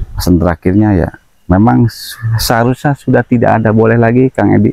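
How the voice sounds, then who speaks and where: At a fairly quick pace, a man speaks in a dry, close sound with no echo. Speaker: spiritual practitioner, medium. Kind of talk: paranormal investigation talk.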